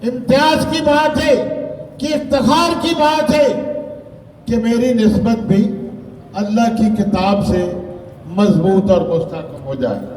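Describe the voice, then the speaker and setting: There are long, frequent pauses as a man talks in an extremely high voice with very wide pitch swings, with audible room echo and noticeable background noise. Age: 70s. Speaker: religious political leader. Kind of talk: public speech at a rally. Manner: formal oratorical.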